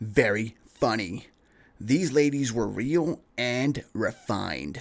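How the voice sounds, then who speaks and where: A man's nasal put-on character voice at a medium pitch, very slow in pace with lively intonation. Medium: read story. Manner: flippant, lazy.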